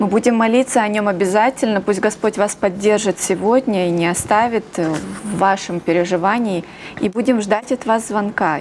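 A woman keeps a moderate pace and ordinary pitch variation as noticeable noise runs in the background. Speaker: TV prayer program co-host. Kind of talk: live religious broadcast with prayers. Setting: TV studio, live broadcast. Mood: warm, compassionate. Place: studio.

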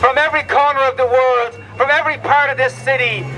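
Over noticeable background noise, a man with an extremely high pitch uses a raised, projected voice at a fairly quick pace. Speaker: labour federation leader. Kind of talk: rousing outdoor rally speech to striking workers on a picket line. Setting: outdoors at a picket line rally. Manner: fiery, emphatic call-and-response cadence; repetitive rallying refrains building to a climax.

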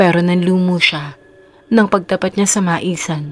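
Music plays in the background as a woman speaks in a fairly low voice. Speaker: horror story narrator. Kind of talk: bedtime ghost story telling, scripted narration. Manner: dramatic, suspenseful storyteller pacing, shifting tone; polite, warm when greeting viewers.

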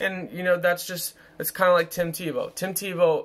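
A man speaks slowly-ish, at a fairly slow pace, in a high pitch. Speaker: YouTube commentator; commentary vlogger. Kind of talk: casual monologue. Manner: rambling, hesitant with fillers. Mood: relaxed, opinionated. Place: home room. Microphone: phone near.

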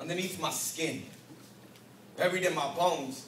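A man speaks at a high pitch and a moderate pace, with audible room echo and light background noise. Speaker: spoken-word poet. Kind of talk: spoken-word poetry performance. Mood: intense, emotional. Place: stage. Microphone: camera far.

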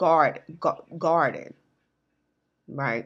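A woman talks at a very slow pace, her pitch varying in an ordinary way, with a quiet background behind her. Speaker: channel host. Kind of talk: casual vlog chat, spiritual storytelling. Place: home room. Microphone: earbuds.

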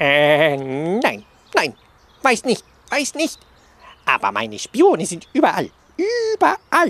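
Using a put-on character voice, a man speaks at a high pitch and a very slow pace, with long, frequent pauses. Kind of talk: comic character voice. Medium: audio drama. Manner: boastful, repetitive, eager.

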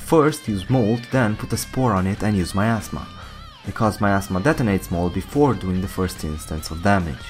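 Music plays behind a man whose fairly low voice moves with lively intonation. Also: moderate pace. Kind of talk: game guide narration.

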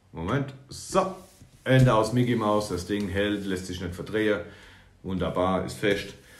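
A somewhat breathy man at a fairly low pitch and a fairly slow pace, with audible room echo. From Palatinate, Germany; Germany. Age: 30s. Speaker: YouTuber reviewing building-brick sets; toy reviewer. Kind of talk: product review. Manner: halting. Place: home room. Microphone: phone near.

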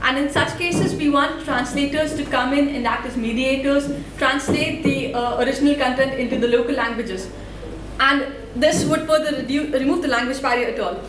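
A woman talks in an Indian accent. Light background noise and audible room echo are present. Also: moderate pace. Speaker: student developer and open source volunteer. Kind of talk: conference talk. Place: hall.

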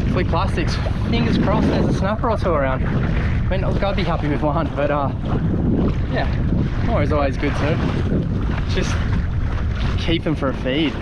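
Amid loud background noise, a man talks at a moderate pace with long, frequent pauses. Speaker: fishing vlogger. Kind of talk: casual vlog chat. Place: boat. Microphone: phone near.

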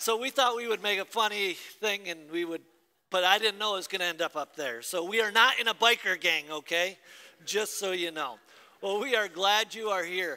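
A man uses a raised, projected voice with a bright, sharp tone, ordinary pitch variation and a moderate pace. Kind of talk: casual announcements, then spoken prayer. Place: church. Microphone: headset.

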